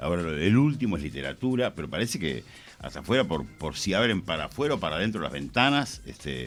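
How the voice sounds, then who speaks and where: A man speaks at a very fast pace with a very deep, low pitch. His voice shows vocal fry and very wide pitch swings. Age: 60s. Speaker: radio host. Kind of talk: radio interview.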